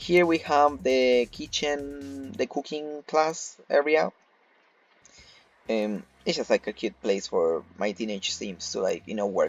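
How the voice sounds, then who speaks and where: Against music in the background, a man speaks fairly slowly at a fairly high pitch with very wide pitch swings. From Argentina. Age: 20s. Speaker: video game YouTuber. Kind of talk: casual gameplay tour narration. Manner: casual, many fillers (um, like).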